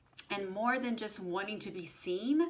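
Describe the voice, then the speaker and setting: A woman speaks at a fairly slow pace with a fairly high pitch. Her pitch swings are very wide, and the room echo is audible. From Brazil. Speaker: spiritual channeler and intuitive reader. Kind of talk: casual spiritual talk to camera. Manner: conversational, many fillers.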